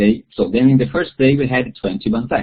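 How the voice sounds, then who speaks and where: The speaker talks at a moderate pace with a Portuguese accent. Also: man. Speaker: bible study facilitator. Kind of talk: webinar talk. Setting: online webinar. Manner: halting.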